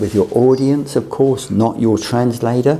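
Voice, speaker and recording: A man with a British accent talks at a moderate pace in a medium pitch with fairly even intonation, over noticeable background noise and audible room echo. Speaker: teacher on a mission training course. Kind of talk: lecture.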